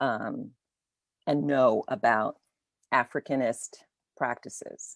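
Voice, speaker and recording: Very slowly, a woman speaks in a dry, close sound with no echo. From Virgin Islands, St. Croix. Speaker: dancer and choreographer. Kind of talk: conversation over video call. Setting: video call. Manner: halting, many fillers.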